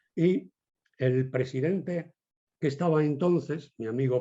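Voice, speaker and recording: A man speaks with ordinary pitch variation and a dark, mellow tone against a quiet background. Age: 70s. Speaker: bullfighting historian and jury president. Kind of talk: interview. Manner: halting, with many repetitions.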